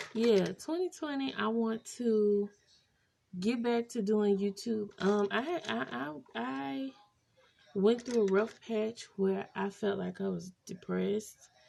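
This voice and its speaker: A woman at medium pitch with a dark, mellow tone, very wide pitch swings, and a very slow pace. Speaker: makeup artist and beauty vlogger. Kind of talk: casual chat while doing makeup. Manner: naturally slow talker.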